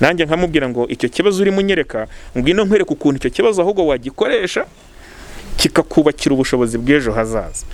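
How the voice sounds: A man at a fairly high pitch, talking at a very fast pace with lively intonation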